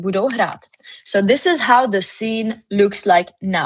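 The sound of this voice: An unforced reading voice carries ordinary pitch variation. The background is quiet.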